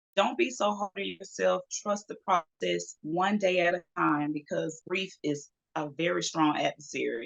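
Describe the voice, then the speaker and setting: A woman is speaking. She has a Southern US accent. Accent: Southern US (Georgia). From US South, Georgia (Macon). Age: 40s. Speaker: model. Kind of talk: interview.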